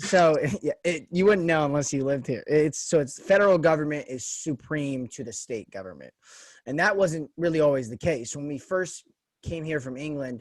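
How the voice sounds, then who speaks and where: A man with an American accent, an ordinary speaking voice, a fairly high pitch and a fairly quick pace. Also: very clean recording, silent background. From US West, Las Vegas. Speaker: podcast host. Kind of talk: casual interview chat.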